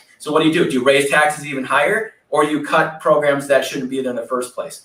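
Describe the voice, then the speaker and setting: A man with an American accent and a fairly high pitch speaks at a very fast pace. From Wisconsin. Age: 30s. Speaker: political candidate. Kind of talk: interview. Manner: animated.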